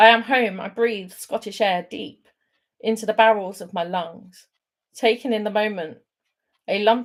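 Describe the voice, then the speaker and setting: A woman speaks at a fairly slow pace with a fairly high pitch. Her loudness swings widely, while her pitch varies an ordinary amount. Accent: southern English. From England, London. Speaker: poet. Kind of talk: poetry reading; casual chat. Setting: online livestream.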